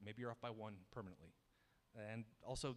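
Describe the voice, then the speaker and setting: A man is speaking. His pace is very fast. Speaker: software engineer giving a tech talk. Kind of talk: conference talk with slides.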